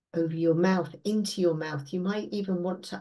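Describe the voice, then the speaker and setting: A woman speaks in a fairly low, dark and mellow voice with a gentle, soothing tone. Her intonation is monotone and flat, and the background is quiet. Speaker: meditation guide. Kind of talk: guided meditation. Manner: slow, soothing, calm; gentle, unhurried, with long pauses. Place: home room. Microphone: webcam.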